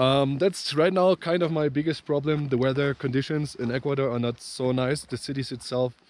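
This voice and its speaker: A man with a German accent at a medium pitch, moderate pace and ordinary pitch variation, against noticeable background noise. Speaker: travel vlogger. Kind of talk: travel vlog. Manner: halting, many fillers.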